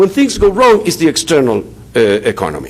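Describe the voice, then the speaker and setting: A high-pitched man at a very fast pace with a Spanish accent, amid noticeable background noise. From Chile. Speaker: economics professor. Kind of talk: conference talk. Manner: halting, many fillers.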